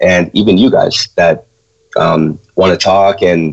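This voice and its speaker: This is a man talking. He has a Chicago accent. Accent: Chicago American. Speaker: trading educator, co-host. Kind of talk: live Q&A stream. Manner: hesitant, many fillers.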